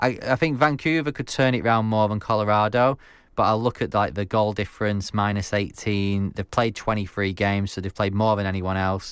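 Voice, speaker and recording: A man with an English accent speaks at a fairly quick pace with hardly any pauses, his pitch fairly low with ordinary variation. The recording is very clean, with a silent background. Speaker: radio producer and podcast co-host. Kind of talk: casual chat and interview.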